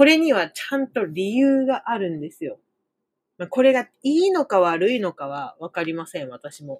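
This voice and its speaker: At a moderate pace and fairly high pitch, a woman makes very wide pitch swings and big swings in loudness. The sound is dry and close, with no echo. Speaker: Japanese language teacher, podcaster. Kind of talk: casual monologue lesson podcast. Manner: rambling, frequent fillers and self-corrections.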